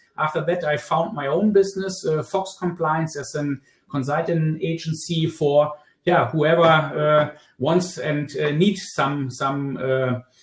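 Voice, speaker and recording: In a German accent, a man speaks at a fairly slow pace with a fairly high pitch and fairly even intonation. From Germany. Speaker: product compliance consultant. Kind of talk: webinar presentation. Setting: live online webinar. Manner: halting, many fillers.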